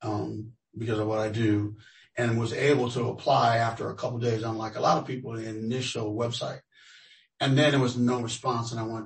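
A man with an American accent, medium pitch and a fairly quick pace. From Los Angeles, US. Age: 60s. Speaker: tenant interviewee. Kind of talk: research interview. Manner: halting.

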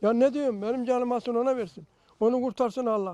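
The background stays quiet. A man's tone is dark and mellow. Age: 80s+. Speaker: fire victim. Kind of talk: street interview. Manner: halting.

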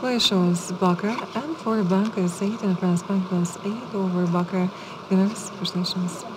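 A soft-spoken woman talks in a relaxed tone at a fairly slow pace. Her intonation is fairly even, with noticeable background noise. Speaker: live baccarat dealer. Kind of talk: casino dealer announcing game rounds. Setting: live casino table. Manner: soft-spoken, relaxed. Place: studio.

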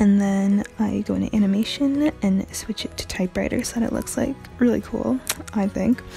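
Faint music plays in the background. A soft-spoken woman talks at a moderate pace. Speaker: tutorial creator. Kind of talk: tutorial voice-over. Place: home room.

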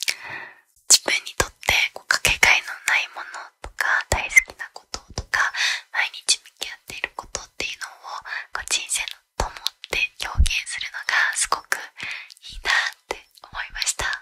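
A woman whispers softly at a fairly slow pace. Her loudness swings widely. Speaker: book talk creator. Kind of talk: casual book review chat. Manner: soft close-mic whisper. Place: home room. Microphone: studio mic.

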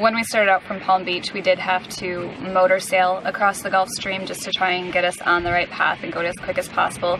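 Over noticeable background noise, a woman talks at a fairly quick pace. Her intonation is monotone and flat. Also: dry sound with no echo. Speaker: sailing vlogger. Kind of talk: casual vlog chat. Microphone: camera far.

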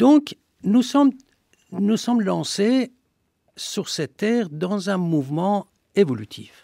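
At a very slow pace with long, frequent pauses, a man speaks in a high pitch with lively intonation and a dark, mellow tone. The sound is dry with no echo against a quiet background. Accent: Persian. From Iran, Shiraz; Iran. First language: Persian (speaking French). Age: 60s. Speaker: historian. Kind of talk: radio interview. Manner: halting. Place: studio.

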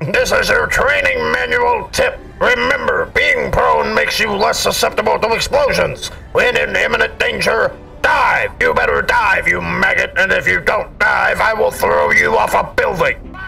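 There is clear music in the background. Over it, a man speaks at an extremely high pitch. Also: moderate pace. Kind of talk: drill sergeant shouting. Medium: game stream. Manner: aggressive, threatening, insulting.

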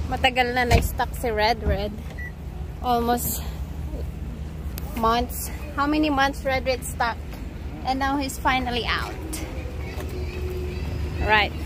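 Over noticeable background noise, a woman talks with long, frequent pauses in a dry sound with no echo. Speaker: travel vlogger. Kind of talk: casual vlog chat. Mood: cheerful, chatty. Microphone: phone near.

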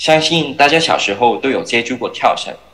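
A man speaks over noticeable background noise. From Hong Kong. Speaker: startup founder and jump rope athlete. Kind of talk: startup pitch. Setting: remote video link.

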